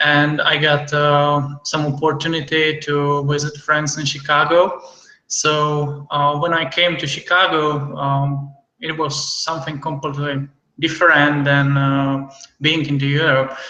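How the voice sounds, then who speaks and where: Against audible room echo, a man talks at a fairly slow pace, his fairly high voice flat and monotone. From Czech Republic. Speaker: entrepreneur, visa holder. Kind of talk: interview. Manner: hesitant, many fillers.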